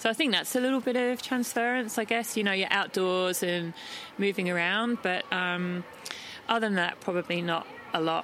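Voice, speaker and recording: With an Australian accent, a woman talks at a moderate pace and medium pitch, with ordinary pitch variation and very even loudness. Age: 40s. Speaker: ultra trail runner. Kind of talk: casual interview.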